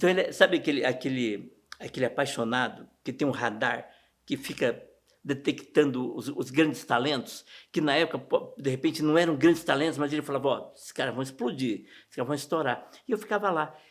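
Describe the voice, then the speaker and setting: A man with a plain, everyday voice, fairly high pitch, ordinary pitch variation, a fairly quick pace and big swings in loudness, in a very clean recording with a silent background. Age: 60s. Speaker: interviewee recalling local sports history. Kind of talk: documentary interview. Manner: casual, conversational.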